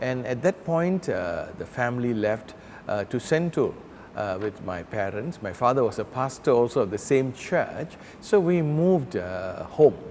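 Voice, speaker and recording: A man speaks at a fairly slow pace in a medium pitch, his voice swinging very widely up and down. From Malaysia, Kuala Lumpur. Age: 60s. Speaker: pastor. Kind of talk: interview reminiscence.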